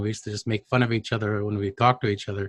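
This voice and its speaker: A man's fairly low voice, monotone and flat, in a dry, close recording with no echo. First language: Cree. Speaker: Cree language educator. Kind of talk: conference presentation.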